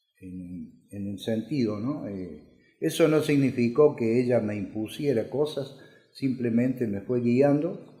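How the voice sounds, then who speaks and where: Speaking very slowly, a man uses a medium pitch and a dark, mellow tone that is somewhat breathy. His intonation is lively, and his loudness swings widely. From Argentina, Córdoba city. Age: 60s. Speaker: electrician. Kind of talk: life story interview. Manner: halting, many filler sounds.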